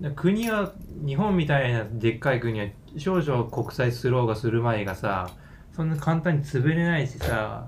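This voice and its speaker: This man's voice has a somewhat breathy quality. He keeps a moderate pace and uses lively intonation. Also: medium pitch for a man. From Japan, Yamaguchi Prefecture. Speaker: podcast guest. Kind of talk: casual discussion.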